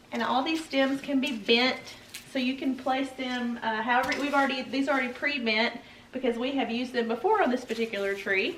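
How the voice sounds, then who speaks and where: A woman speaks in a high pitch at a fairly quick pace. Noticeable background noise runs behind her. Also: ordinary pitch variation. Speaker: home decor tutorial co-host. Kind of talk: tutorial.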